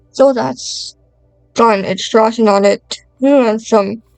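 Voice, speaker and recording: Over music in the background, a woman speaks at a very slow pace and a fairly high pitch, with ordinary pitch variation. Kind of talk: product unboxing review vlog. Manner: casual talk to camera.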